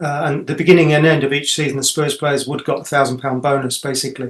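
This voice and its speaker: Speaking at a very fast pace, a man with a fairly high pitch sounds somewhat breathy, his intonation fairly even. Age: 60s. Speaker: author and son of a late footballer. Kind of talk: interview. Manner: halting, many repeats and fillers.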